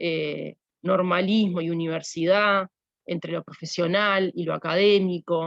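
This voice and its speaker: A woman speaks at a fairly slow pace in a monotone with flat intonation. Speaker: university lecturer. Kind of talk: lecture. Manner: halting.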